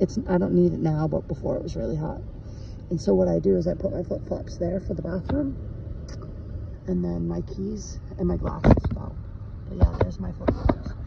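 Over noticeable background noise, a man talks at a moderate pace with long, frequent pauses in a dry sound with no echo. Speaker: car dweller vlogger. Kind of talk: casual vlog chat. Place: car. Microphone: phone near.

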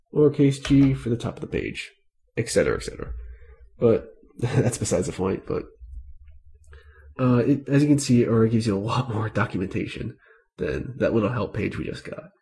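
Talking at a fairly quick pace, a man of medium pitch shows vocal fry and ordinary pitch variation. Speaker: Linux tutorial creator. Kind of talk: screen-recorded tech tutorial. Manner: casual, conversational.

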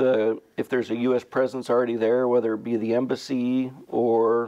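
A man talks at a moderate pace in a flat monotone. The background is quiet. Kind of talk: interview answer. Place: studio. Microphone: lapel.

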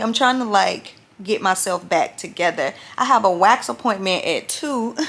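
Her pitch shifts in a typical way as the woman talks, neither fast nor slow. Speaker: vlogger. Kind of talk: casual vlog chat. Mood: unwell but chatty. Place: home room. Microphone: phone near.

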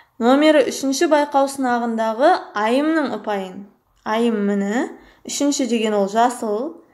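Audible room echo carries a woman's fairly high voice as she speaks at a fairly slow pace. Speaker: math teacher. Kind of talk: tutorial.

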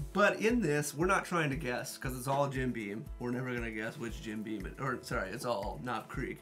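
A man talks at a moderate pace with hardly any pauses. Faint music plays in the background. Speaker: channel host. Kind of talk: casual tasting chat. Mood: jovial, laughing. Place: home room.

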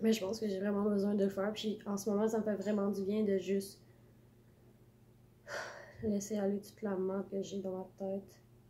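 A woman with a Quebec accent speaks somewhat breathily in a dark, mellow tone, with monotone, flat intonation, a moderate pace and long, frequent pauses, over light background noise. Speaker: vlogger. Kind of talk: casual talk to camera. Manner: halting, rambling. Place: home room. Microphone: phone near.

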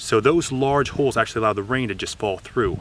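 A fairly quick pace, dry sound with no echo, and noticeable background noise. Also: man. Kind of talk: interview answer. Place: garden. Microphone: phone near.

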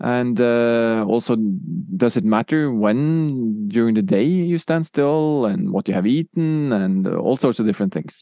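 Speaking with a Norwegian accent, a man uses a medium pitch and lively intonation. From Norway. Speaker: music technology professor. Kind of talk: interview. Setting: in Oslo.

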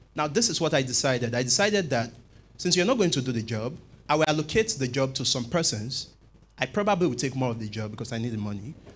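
A somewhat breathy man at medium pitch, very fast, with lively intonation. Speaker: scriptwriter in audience. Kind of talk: audience question. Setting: church conference with audience. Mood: earnest, thoughtful. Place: church. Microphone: handheld.

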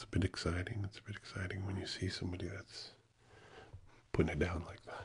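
A man with a very deep, low pitch speaks fairly quickly in a somewhat breathy, monotone, flat voice. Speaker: ASMR creator. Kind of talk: soft ASMR channel talk. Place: studio. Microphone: studio mic.

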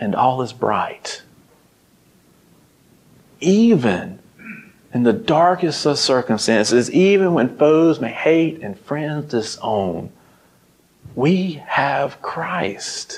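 Speaking very slowly in a Southern US accent, a man with a fairly high pitch takes long, frequent pauses and makes very wide pitch swings. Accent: Southern American. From Mississippi, USA. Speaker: ministry intern, preacher. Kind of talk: sermon. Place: church. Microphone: lapel.

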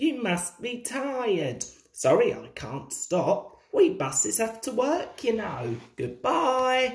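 With audible room echo, a woman does a put-on character voice at a fairly high pitch and a slow pace, with few pauses and big pitch swings.

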